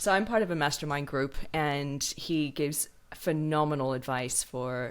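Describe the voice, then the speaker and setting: In a very clean recording with a silent background, a woman with an American accent sounds enthusiastic, her very deep, low voice moving with ordinary pitch variation. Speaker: podcast host. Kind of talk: podcast interview.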